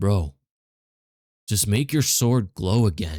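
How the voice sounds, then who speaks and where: A man's put-on character voice, fairly low and fairly slow, in a very clean recording with a silent background. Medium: read story. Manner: casual slangy.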